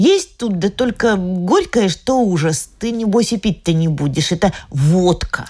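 Somewhat breathy, a woman at a medium pitch speaks at a very slow pace. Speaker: audiobook narrator. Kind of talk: literary audiobook reading. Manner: lively, light narration, playful child's voice for the girl's lines.

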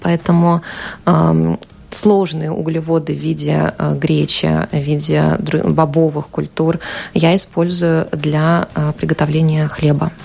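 A woman speaking very slowly at very even loudness, with long, frequent pauses and noticeable background noise. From Ukraine, Ukrainian-Russian family. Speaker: journalist and amateur cook. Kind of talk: radio interview. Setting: radio studio.

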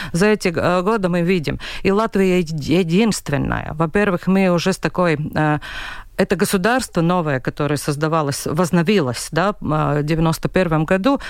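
This woman's voice sits fairly low, with ordinary pitch variation. The recording is very clean, with a silent background. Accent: Latvian. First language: Latvian (speaking Russian). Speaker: regional newspaper editor. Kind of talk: radio panel discussion. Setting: radio studio. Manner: halting.

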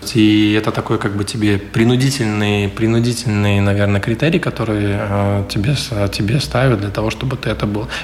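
Noticeable background noise runs behind this recording. A man speaks at a moderate pace. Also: fairly low pitch for a man, ordinary pitch variation. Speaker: city councillor. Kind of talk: radio interview statements.

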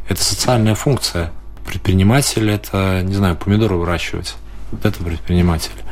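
With noticeable background noise, a man speaks fairly quickly in a very deep, low pitch and ordinary pitch variation. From Latvia, Daugavpils. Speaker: mayor, politician. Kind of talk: radio interview. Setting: studio.

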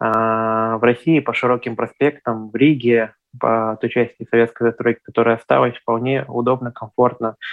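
A man's medium-pitched voice at a moderate pace with fairly even intonation, music playing in the background. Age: 20s. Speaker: blind traveller and travel blogger. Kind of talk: interview.

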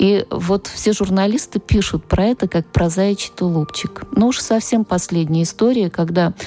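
Despite noticeable background noise, the sound is dry and close with no echo, as the voice keeps very even loudness, a moderate pace, ordinary pitch variation and hardly any pauses. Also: woman, medium pitch for a woman. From Russia, Nizhny Novgorod. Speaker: literature professor. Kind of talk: radio interview. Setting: studio.

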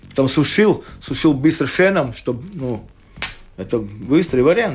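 A man talks at medium pitch with vocal fry. His pitch swings very widely. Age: 60s. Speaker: sports photographer. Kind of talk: casual chat. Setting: studio. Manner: halting.

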